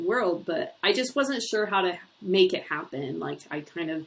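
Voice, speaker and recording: Using a moderate pace, a woman with an Ohio accent talks with very wide pitch swings. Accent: Ohio accent, still noticeable in vowels. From US Midwest, Northeast Ohio. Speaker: university lecturer. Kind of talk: course introduction video. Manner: conversational with filler words.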